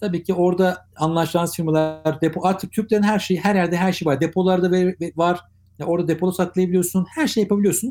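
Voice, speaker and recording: This man talks at a very fast pace. His voice is high-pitched with a dark, mellow tone. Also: fairly even intonation. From Turkey, Ankara. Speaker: digital transformation consultant. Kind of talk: interview.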